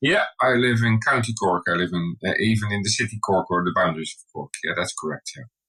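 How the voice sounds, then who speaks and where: At a fairly quick pace, a man speaks with a Dutch accent and big swings in loudness, the sound dry and close with no echo. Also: hardly any pauses. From Netherlands. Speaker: skincare brand co-founder. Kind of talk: podcast interview.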